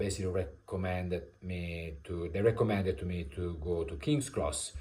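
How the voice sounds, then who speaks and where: With an Italian accent, a man speaks in a very deep, low voice that is dark, mellow and somewhat breathy. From Italy. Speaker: vlogger. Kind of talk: personal storytelling. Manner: halting, many fillers.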